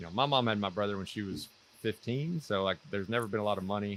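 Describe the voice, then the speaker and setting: Here a man talks in a fairly low voice with ordinary pitch variation. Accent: Mississippi. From US South, North Mississippi. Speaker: former military officer, financial independence guest. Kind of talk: interview.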